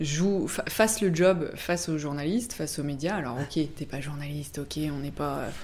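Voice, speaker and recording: A dark, mellow voice moves at a fairly slow pace with ordinary pitch variation amid audible room echo. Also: woman. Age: 30s. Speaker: press relations agency director. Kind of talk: podcast interview. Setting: office.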